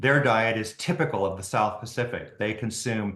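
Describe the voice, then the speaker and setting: Medium in pitch, a man's voice moves along at a moderate speed. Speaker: ophthalmologist and author. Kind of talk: interview. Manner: halting, many fillers and restarts.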